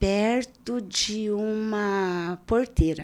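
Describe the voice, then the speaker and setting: A woman's voice with ordinary pitch variation, recorded very cleanly over a silent background. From Brazil, interior of Paraná state (Primeiro de Maio). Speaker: civil servant, community security council worker. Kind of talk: casual podcast interview.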